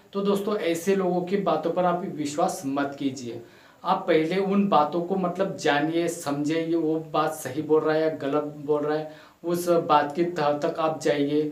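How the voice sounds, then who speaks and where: A man's fairly high voice with fairly even intonation and a non-native accent, plus audible room echo and noticeable background noise. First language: not Hindi (speaking Hindi). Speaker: motivational YouTuber. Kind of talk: motivational talk. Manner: halting, many fillers.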